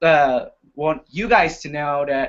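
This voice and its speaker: A man is speaking. He has an Indonesian accent. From Indonesia, Jambi City. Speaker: university student. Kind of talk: casual panel talk. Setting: live video hangout.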